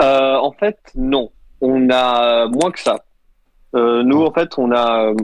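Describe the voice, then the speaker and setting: A man talks at a very slow pace and a medium pitch. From Switzerland. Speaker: visual artist and meme maker. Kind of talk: casual chat.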